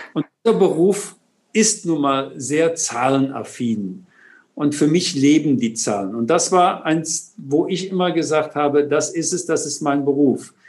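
In a normal speaking voice, a man talks at a fairly slow pace with lively intonation. His pitch sits fairly high. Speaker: tax advisor. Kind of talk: interview.

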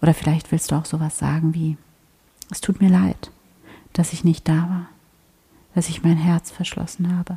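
A woman speaks in a fairly low, somewhat breathy voice with a dark, mellow tone and flat, monotone intonation, recorded dry and close with no echo. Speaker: meditation guide and podcast host. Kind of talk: guided meditation, spoken prayer-like, addressing listener as 'du' with long calm pauses. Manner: slow, soft-spoken, soothing and gentle, with unhurried pacing; warm, devout, intimate tone.

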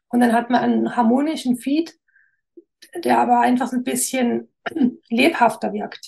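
A woman speaks with a slight Swabian accent. She leaves long, frequent pauses. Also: moderate pace. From Swabia, near Stuttgart (Esslingen area). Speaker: graphic designer. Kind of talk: interview.

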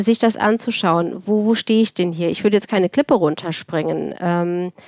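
A woman's unremarkable speaking voice at medium pitch, fairly quick, with ordinary pitch variation, on a very clean recording with a silent background and a dry, close sound with no echo. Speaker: cardiologist and start-up founder. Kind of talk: interview.

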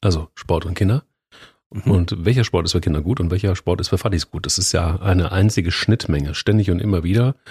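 A man speaks at a fairly quick pace in a very deep, low pitch with ordinary pitch variation. The voice is somewhat breathy, with a dry, close sound and no echo. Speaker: podcast co-host, editor-in-chief. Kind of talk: casual chat. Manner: animated.

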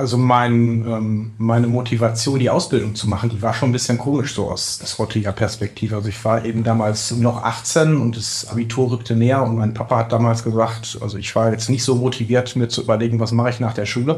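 Against noticeable background noise, a man at a medium pitch talks at a fairly quick pace in a monotone, flat intonation with hardly any pauses. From Ruhr area, Bochum. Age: 40s. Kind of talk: interview.

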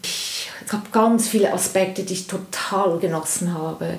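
Audible room echo colors this recording. A woman talks over noticeable background noise. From Switzerland. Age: 50s. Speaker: interview guest telling personal breakup story. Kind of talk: personal testimony in interview.

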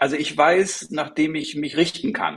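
A man talks with very wide pitch swings. His voice has vocal fry. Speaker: future vision coach. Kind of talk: interview conversation.

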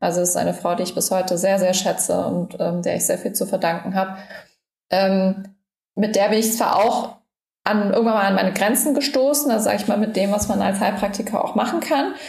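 Somewhat breathy, a woman talks at a medium pitch and a fairly quick pace, with very even loudness and ordinary pitch variation. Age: 30s. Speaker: health influencer and micronutrient therapy student. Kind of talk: interview, personal health story. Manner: frequent filler sounds (ähm, äh).

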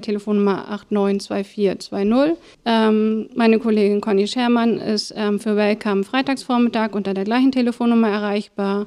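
A woman's fairly high-pitched voice, dark and mellow in tone, with monotone, flat intonation, in a very clean recording with a silent background. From northern Germany, Schwarzenbek. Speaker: family-support project coordinator. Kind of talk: casual interview.

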